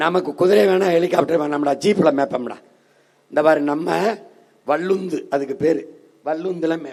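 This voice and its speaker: This man has an unremarkable speaking voice, pitched fairly high. His pitch varies in an ordinary way. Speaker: political party leader giving an election campaign speech. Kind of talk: political rally speech.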